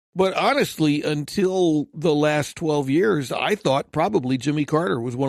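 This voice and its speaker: The speaking voice is unremarkable, moving at a moderate pace. Its pitch varies in an ordinary way. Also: man, dry, close sound with no echo. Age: 60s. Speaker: podcast guest. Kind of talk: casual chat.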